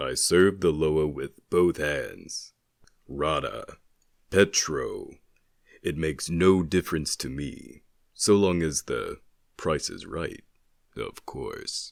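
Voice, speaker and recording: A man uses a put-on character voice with a very deep, low pitch at a very slow pace. He takes long, frequent pauses on a very clean recording with a silent background. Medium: audio drama. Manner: measured, terse, solemn.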